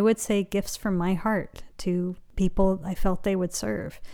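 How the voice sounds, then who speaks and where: A woman with a West Coast accent speaks at a medium pitch in a dark, mellow tone. The recording is very clean, with a silent background. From Los Angeles, US. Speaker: meditation teacher and author. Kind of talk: interview conversation.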